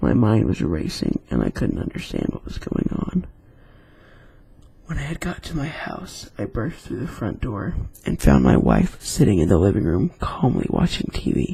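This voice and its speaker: A soft-spoken man at a moderate pace. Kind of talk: scary story reading in an ASMR style.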